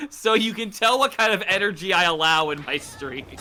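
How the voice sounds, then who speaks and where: Raising and projecting his voice, a man with an American accent speaks at a high pitch and moderate pace over noticeable background noise. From United States. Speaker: fellow streamer. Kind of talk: casual chat. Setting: live stream. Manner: loud.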